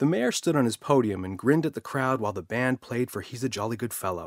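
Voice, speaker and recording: This man has an ordinary speaking voice at a medium pitch and a fairly quick pace. The sound is dry and close, with no echo. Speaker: storyteller. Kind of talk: children's audiobook narration.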